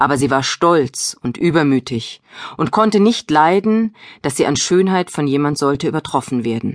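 The background stays quiet. Delivery is at a moderate speed, in a dry, close sound with no echo. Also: woman, very deep, low pitch for a woman. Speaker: audiobook narrator. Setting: studio. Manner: storytelling, gentle and expressive.

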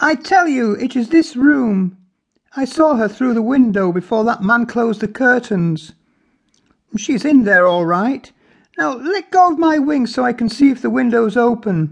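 A man's put-on character voice, shrill and extremely high in pitch, at a moderate pace over a quiet background. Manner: angry, arguing.

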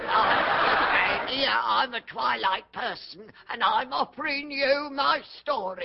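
A high-pitched voice at a very slow pace. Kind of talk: comic overacting. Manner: furtive, eager.

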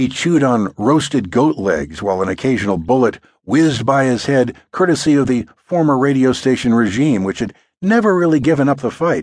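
A man with a normal speaking voice, medium pitch, fairly quick pace, lively intonation and very even loudness against a quiet background. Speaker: audiobook narrator. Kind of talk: audiobook narration of nonfiction, reading aloud. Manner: storytelling, steady, wry and lively; shifts into quoted speech for Wolfman's recollections.

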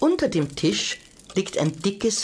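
A woman with an animated, playful tone speaks at a fairly slow pace, her pitch swinging very widely over noticeable background noise. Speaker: audiobook narrator. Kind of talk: dramatic storytelling, children's audiobook narration. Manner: animated, suspenseful, hushed then stormy, with playful character voices; slow, coaxing, directly addressing the child listener.

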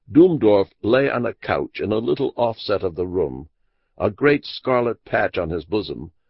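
Against a quiet background, someone reads aloud plainly.

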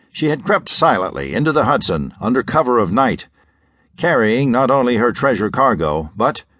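A man at medium pitch speaks in a dramatic tone at a moderate pace, with vocal fry. His pitch swings very widely while his loudness stays very even. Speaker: audiobook narrator. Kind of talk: scripted pulp-fiction audiobook narration. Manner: dramatic, suspenseful, measured pacing.

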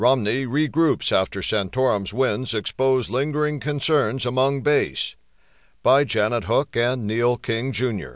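A man with a normal speaking voice at a medium pitch, fairly slow pace, ordinary pitch variation and very even loudness, over a quiet background. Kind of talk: newsreading. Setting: studio. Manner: formal, even-paced, steady; neutral, impersonal delivery.

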